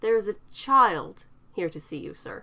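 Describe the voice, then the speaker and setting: This female-sounding voice puts on a character at a medium pitch for a woman and a moderate pace. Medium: read story. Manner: nervous, hesitant.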